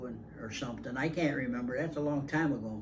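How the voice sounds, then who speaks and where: At a fairly quick pace, a man with an American accent talks with ordinary pitch variation over noticeable background noise. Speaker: retired farmer and grandfather. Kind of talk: casual family conversation.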